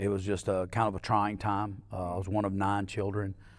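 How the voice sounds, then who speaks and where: In an Alabama accent, a man talks at a fairly quick pace with a fairly low pitch. His intonation is monotone and flat, and the recording is very clean with a silent background. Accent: Southern US (Alabama). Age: 60s. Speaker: mayor and entrepreneur. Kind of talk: podcast interview.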